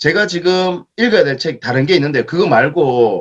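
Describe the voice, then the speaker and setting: A man speaks at a fairly high pitch, his voice swinging very widely up and down. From Daegu, South Korea. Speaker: author and education company speaker. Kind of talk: Q&A at author lecture.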